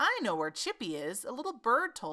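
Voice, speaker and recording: Putting on a character voice, a woman speaks at a moderate pace in a high pitch, with very wide pitch swings and big swings in loudness. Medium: read story. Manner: flustered, chattering.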